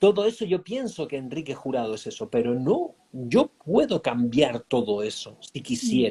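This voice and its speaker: A man's fairly high-pitched voice with a dark, mellow tone, a Spanish accent, lively intonation and a very slow pace. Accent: Spanish from Spain. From Spain. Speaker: life coach. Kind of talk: interview. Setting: online live stream.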